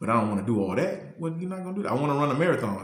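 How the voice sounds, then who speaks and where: A somewhat breathy voice at a very fast pace with very wide pitch swings, in audible room echo. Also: man. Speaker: motivational youtuber. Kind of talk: motivational talk. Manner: halting, repeats words.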